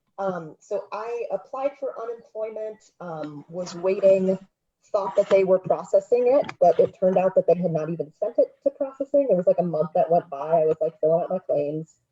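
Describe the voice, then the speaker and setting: Soft-spoken and somewhat breathy, a woman with a dark, mellow tone talks at a moderate pace with ordinary pitch variation and big swings in loudness, in a dry, close sound with no echo. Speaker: audience member with a question. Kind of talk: question at a live webinar Q&A. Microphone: sounds far away, muffled mic.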